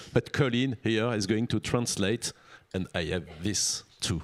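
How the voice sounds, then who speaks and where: With a French accent, a man speaks at a fairly low pitch. His pace is fairly slow and his pitch varies in an ordinary way. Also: dry, close sound with no echo. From France. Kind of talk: panel discussion.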